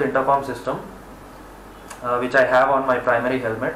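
Audible room echo comes through along with light background noise. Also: man. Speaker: product reviewer. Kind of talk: product review. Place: home room. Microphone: camera far.

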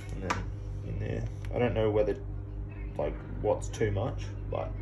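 Noticeable background noise runs behind this clip. A man speaks at a moderate pace. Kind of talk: casual vlog chat. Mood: joking, relaxed. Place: garage. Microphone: phone near.

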